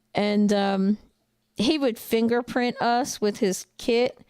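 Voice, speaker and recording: In a New Jersey accent, the voice comes with fairly even intonation and a dry, close sound with no echo, on a very clean recording with a silent background. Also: woman. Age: 40s. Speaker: truck driver and trainer. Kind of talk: casual livestream chat. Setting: livestream with chat. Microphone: new microphone setup.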